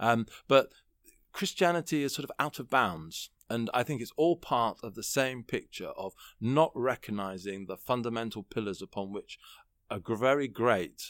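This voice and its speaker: Recorded very clean, with a silent background and a dry, close sound with no echo, a man with a British accent speaks at medium pitch with lively intonation and big swings in loudness. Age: 40s. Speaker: political columnist and commentator. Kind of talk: interview, political discussion.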